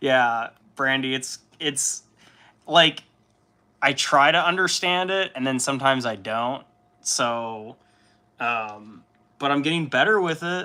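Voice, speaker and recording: A man speaks loudly at a fairly slow pace, with an American accent. His fairly high voice has a bright, sharp tone. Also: ordinary pitch variation. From Chicago suburbs, US Midwest. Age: 30s. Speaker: livestreamer, miniature painter. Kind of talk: casual livestream chat.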